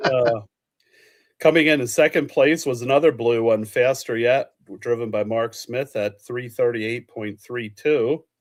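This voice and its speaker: A man in a Pennsylvania Dutch accent, medium in pitch, fairly slow, with fairly even intonation. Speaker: live show host. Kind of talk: casual live chat reading results.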